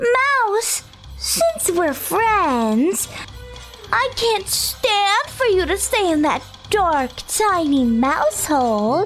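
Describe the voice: A woman uses a put-on character voice with an extremely high pitch, a fairly bright tone and big pitch swings. She speaks at a very slow pace as faint music plays in the background.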